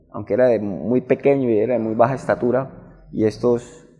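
The pace is fairly slow. A dark, mellow tone marks the voice. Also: man. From Barrancabermeja, Colombia. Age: 50s. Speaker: ballet dancer and choreographer. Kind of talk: interview.

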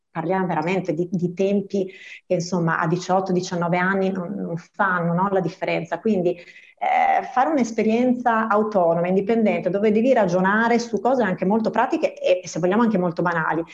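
A woman talks at a fairly quick pace in a normal speaking voice, with medium pitch and ordinary pitch variation. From Veneto, province of Treviso. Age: 40s. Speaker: bank employee. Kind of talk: radio interview.

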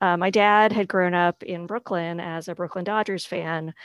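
Heard dry and close with no echo, a woman uses a plain, everyday voice at medium pitch, speaking at a fairly slow pace with fairly even intonation. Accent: American. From New England, outside Boston. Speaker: union staffer. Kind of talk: casual chat.

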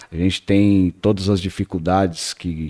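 A man with a normal speaking voice talks at a fairly slow pace, his pitch fairly low. The recording is very clean with a silent background and a dry, close sound with no echo. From Paraná, Brazil. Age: 30s. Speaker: radio station director. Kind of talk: casual chat.

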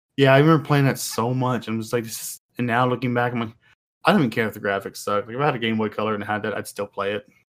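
In a very clean recording with a silent background, a man talks very fast at medium pitch with fairly even intonation. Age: 20s. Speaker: gamer guest. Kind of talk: casual chat.

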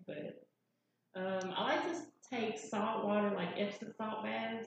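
Speaking at a fairly slow pace, a woman with a Southern US accent shows ordinary pitch variation. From Nashville, Tennessee. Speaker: Reiki and sound therapy practitioner. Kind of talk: panel discussion. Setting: live event with audience.

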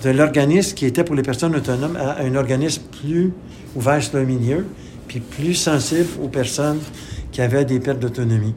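A man's voice with audible room echo. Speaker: retired community organization director. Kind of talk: interview testimony. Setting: radio studio.

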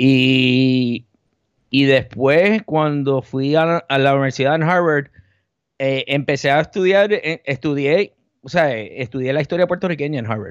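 A man with an ordinary speaking voice, fairly high in pitch, with ordinary pitch variation and a quiet background. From Puerto Rico and the Bronx, New York. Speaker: journalist and media founder. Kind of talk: podcast interview.

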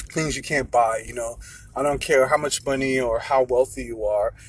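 This is a man with an American accent. He talks at a moderate pace. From London, England. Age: 30s. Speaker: podcaster. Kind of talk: solo monologue podcast. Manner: many filler words.

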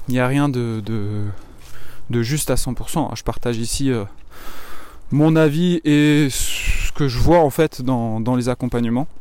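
A man at a medium pitch, a very slow pace, with long, frequent pauses. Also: ordinary pitch variation. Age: 20s. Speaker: fitness coach. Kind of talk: casual monologue. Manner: halting.

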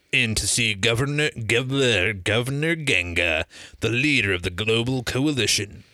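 An unforced reading voice is heard in this clip.

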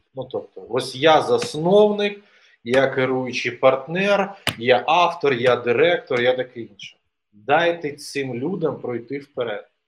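A man talks at a very slow pace in a fairly high pitch, with ordinary pitch variation. His loudness swings a lot. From eastern Ukraine (Donetsk region). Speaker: co-founder of an innovation platform. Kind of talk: interview. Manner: hesitant, many fillers.

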